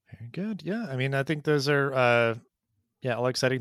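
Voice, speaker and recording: Very clean, with a silent background, the recording holds a man's bright, sharp tone. He moves at a fairly quick pace with ordinary pitch variation. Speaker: podcast host. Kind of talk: casual interview. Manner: many filler words.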